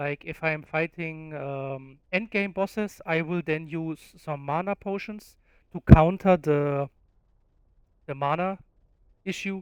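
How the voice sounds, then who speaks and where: Someone with a non-native accent talks at a fairly slow pace. The recording is very clean, with a silent background. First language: not English. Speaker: gaming YouTuber. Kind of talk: game guide tutorial. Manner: casual, with filler words.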